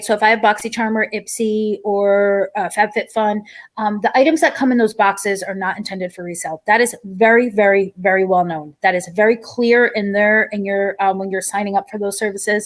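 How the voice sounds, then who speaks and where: Delivered at a fairly quick pace with ordinary pitch variation, the speech sits in a very clean recording with a silent background. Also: woman. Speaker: YouTube commentary streamer. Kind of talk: live stream commentary. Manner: fast.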